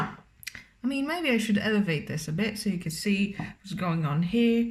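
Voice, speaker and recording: Her delivery is fairly slow. There is some breathiness in this woman's voice. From Romania. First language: Romanian. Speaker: cooking vlogger. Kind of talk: cooking tutorial with casual chat. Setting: home kitchen. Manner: casual, hesitant with many fillers.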